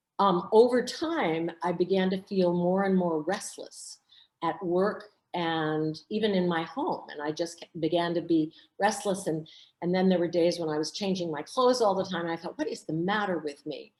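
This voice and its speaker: A woman speaks at a moderate pace. Her pitch is fairly low, with ordinary variation. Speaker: author. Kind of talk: interview. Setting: video call. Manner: halting.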